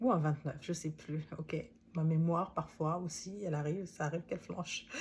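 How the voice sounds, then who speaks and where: A woman with a non-native accent speaks in a fairly low, somewhat breathy voice. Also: fairly even intonation, moderate pace. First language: not French (speaking French). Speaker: author and coach. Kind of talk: book summary talk, casual monologue. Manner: hesitant, many fillers.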